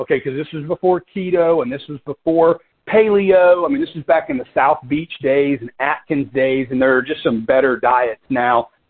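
A plain, everyday voice moves at a moderate pace. The intonation is lively. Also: man. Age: 40s. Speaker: business partner and co-host of conference call. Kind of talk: motivational business talk with stories.

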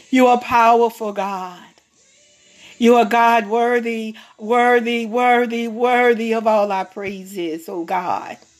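A woman speaks at a fairly slow pace with fairly even intonation. Music plays in the background. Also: fairly high pitch for a woman. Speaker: prayer leader. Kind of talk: fervent prayer. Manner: fervent, pleading, repetitive, with frequent 'oh God' interjections; slow, measured, pausing, reverent.

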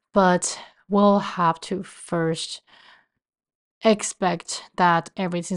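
Very slow speech from a woman with a Chinese accent, fairly low pitch and ordinary pitch variation, over a quiet background. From Taiwan. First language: Mandarin Chinese. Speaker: podcast host. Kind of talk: personal podcast monologue.

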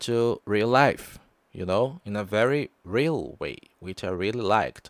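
With a Portuguese accent, the speaker goes at a fairly slow pace with lively intonation, in a dry, close sound and a very clean recording with a silent background. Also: man. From Brazil. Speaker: podcast host, pop culture reviewer. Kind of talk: casual review monologue. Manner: halting, with fillers.

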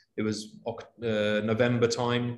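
With a London accent, a man speaks in a flat, monotone way. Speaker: corporate travel manager. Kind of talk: interview.

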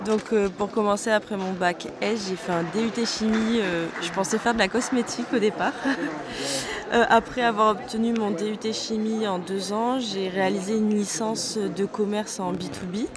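Noticeable background noise runs under a woman's voice. She speaks at a fairly slow pace with fairly even intonation. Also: fairly high pitch for a woman. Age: 20s. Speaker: apprentice engineer in leather tanning. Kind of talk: interview. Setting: trade fair stand.

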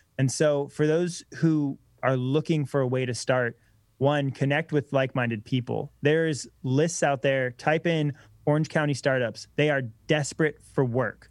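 A man's fairly high voice, an ordinary speaking voice, with very even loudness, fairly even intonation and a moderate pace on a very clean recording with a silent background. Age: 20s. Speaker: electric bike company co-founder. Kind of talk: casual interview.

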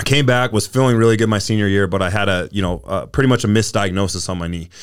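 This man, with an American accent, talks at a very fast pace in a fairly low pitch. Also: very clean recording, silent background. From Utah, US. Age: 30s. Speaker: former college football player and gym owner. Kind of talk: casual interview chat.

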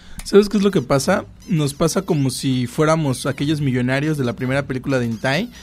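Against noticeable background noise, a man with a fairly high voice talks at a fairly quick pace with lively intonation. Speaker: podcast co-host. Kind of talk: casual chat.

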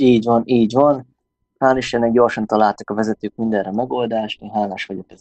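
Here is an unremarkable speaking voice from a medium-pitched man at a fairly quick pace, with fairly even intonation. His loudness swings widely in a dry, close sound with no echo. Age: 20s. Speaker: volleyball player and sports store employee. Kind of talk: interview.

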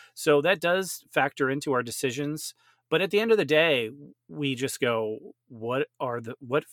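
A man with a normal speaking voice talks at a moderate pace with lively intonation on a very clean recording with a silent background and a dry, close sound with no echo. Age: 40s. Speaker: film festival organizer. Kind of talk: casual chat.

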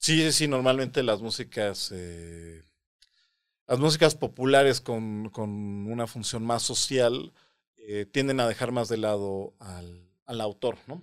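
A man's medium-pitched voice at a very slow pace, with big swings in loudness and ordinary pitch variation. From Mexico City. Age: 30s. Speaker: composer and mathematician. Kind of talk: interview. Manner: halting.

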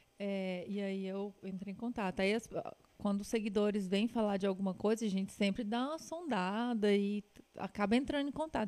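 Dark and mellow in tone, a woman with a Minas Gerais accent speaks at a fairly high pitch and a moderate pace. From Minas Gerais, Brazil (Patos de Minas). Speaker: travel and food influencer. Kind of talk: casual chat.

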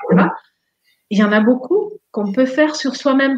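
A woman speaks with a Dutch accent. Her voice is somewhat breathy. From Netherlands. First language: Dutch (speaking French). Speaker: therapist and life coach. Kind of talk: casual interview.

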